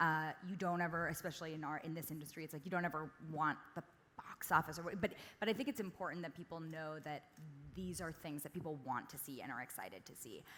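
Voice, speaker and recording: This woman talks at a very fast pace, her pitch very deep and low with ordinary pitch variation. Her tone is bright and sharp, and her loudness swings widely. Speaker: screenwriter. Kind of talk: panel discussion.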